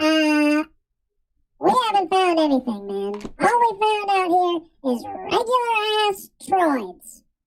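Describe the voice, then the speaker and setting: In a squeaky, extremely high put-on character voice, someone speaks at a fairly slow pace with long, frequent pauses while music plays in the background. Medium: puppet show. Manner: slacker, dopey.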